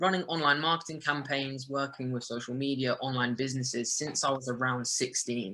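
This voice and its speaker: Speaking with a southern English accent, a man of medium pitch keeps a moderate pace and fairly even intonation. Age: young. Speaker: digital marketer. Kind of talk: webinar presentation.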